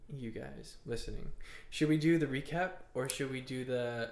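Moderate pace with audible room echo. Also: man. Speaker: podcast co-host. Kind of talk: casual chat.

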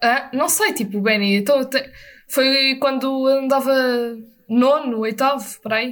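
With a European Portuguese accent, a woman speaks at a fairly slow pace in a high pitch. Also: ordinary pitch variation. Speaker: podcast co-host. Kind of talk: casual chat.

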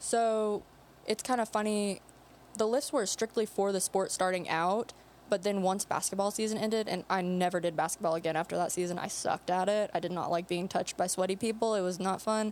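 A woman with a normal speaking voice speaks at a medium pitch and a fairly quick pace, with very even loudness and fairly even intonation. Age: 20s. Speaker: nurse and powerlifter. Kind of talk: casual chat. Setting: studio.

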